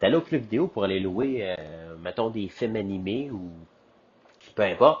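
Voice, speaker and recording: Fairly slow speech with lively intonation and long, frequent pauses. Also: man, fairly low pitch for a man. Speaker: podcast host. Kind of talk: casual solo monologue. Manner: animated.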